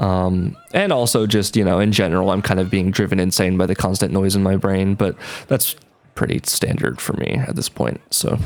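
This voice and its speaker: Very deep and low-pitched, a man speaks at a moderate pace with ordinary pitch variation over noticeable background noise. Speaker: vlogger. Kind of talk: casual monologue. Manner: loud; hesitant, many fillers.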